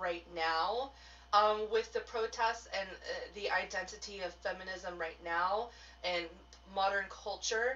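This is a woman speaking. Her pace is moderate. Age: 30s. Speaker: tarot business mentor and witchcraft teacher. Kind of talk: live stream talk to viewers. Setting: solo live video stream. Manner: casual, chatty. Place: home room.

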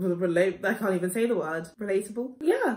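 The speaker has a London accent and moves at a moderate pace. The background is quiet. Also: woman. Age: 20s. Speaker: YouTuber. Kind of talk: vlog. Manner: casual, hesitant. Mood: playful, self-mocking. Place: home room. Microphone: phone near.

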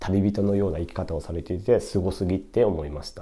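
A man speaks fairly quickly. His fairly low voice has a dark, mellow tone. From Tokyo, Japan. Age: 20s. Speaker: YouTuber reviewing books; book review vlogger. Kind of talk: casual solo monologue book review; casual vlog chat. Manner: rambling, filler-heavy. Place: home room. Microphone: camera far.

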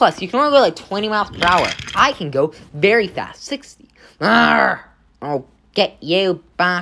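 The recording consists of plain reading aloud.

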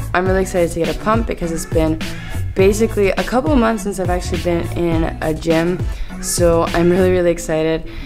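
Clear music plays in the background. A woman speaks at a very fast pace. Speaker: fitness travel vlogger. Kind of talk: casual vlog chat. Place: gym. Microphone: phone near.

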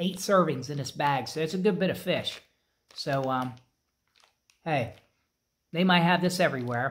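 A man talking at an even, medium speed. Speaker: snack reviewer. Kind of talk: casual review vlog chat. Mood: relaxed, mildly pleased. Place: garage. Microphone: phone near.

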